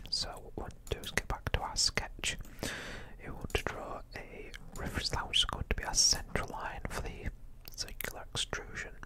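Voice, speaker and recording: A man whispers in a relaxed tone at a moderate pace. Noticeable background noise runs underneath. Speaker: ASMR YouTuber and hobbyist 3D modeller. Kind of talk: quiet ASMR tutorial narration. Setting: close-up microphone. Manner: quiet, whispery, relaxed.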